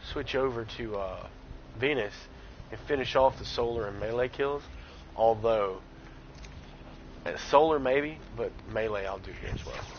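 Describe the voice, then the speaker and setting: Here a man with a Southern accent talks at a medium pitch and moderate pace. He takes long, frequent pauses, and there is noticeable background noise. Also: ordinary pitch variation, big swings in loudness. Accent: light Southern. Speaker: gaming streamer. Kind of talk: live gameplay commentary. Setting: live stream. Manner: casual, chatty.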